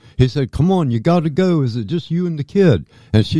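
Speaking at a moderate pace, a man with a Midwestern US accent uses very wide pitch swings in a dark, mellow tone, recorded with a dry, close sound and no echo. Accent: US Midwest. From southwest Ohio (Dayton/Fairborn). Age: 60s. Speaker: alien abduction experiencer. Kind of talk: interview testimony. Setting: studio.

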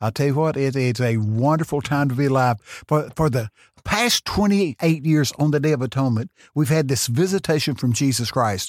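With a Texan accent, a man talks at a fairly quick pace and fairly high pitch, his tone animated, with ordinary pitch variation. His loudness stays very even, and the sound is dry and close with no echo. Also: very clean recording, silent background. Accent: Texan Southern US. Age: 70s. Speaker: preacher. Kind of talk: testimony. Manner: fast talker; animated storyteller.

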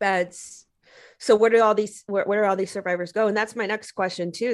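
A woman talks in a normal speaking voice at medium pitch. Her pitch variation is ordinary. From Texas, Mexican American family. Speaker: anti-trafficking activist. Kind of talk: casual interview chat.

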